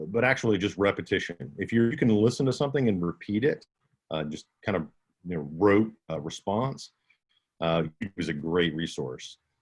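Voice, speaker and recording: A man with a slight Southern US accent, at a moderate pace, with very wide pitch swings. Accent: slight Southern twang. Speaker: audiobook narrator and instructor. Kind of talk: Q&A workshop.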